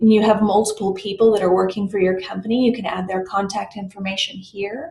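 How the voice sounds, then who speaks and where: A woman with an American accent sounds somewhat breathy. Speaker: software tutorial presenter. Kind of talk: screen-recorded tutorial. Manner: hesitant with fillers and self-corrections.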